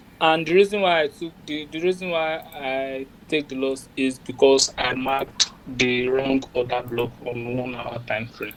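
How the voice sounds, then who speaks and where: A fairly slow pace marks the speech, with noticeable background noise behind it. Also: man, medium pitch for a man, ordinary pitch variation. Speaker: trader. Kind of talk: casual chat. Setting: video call.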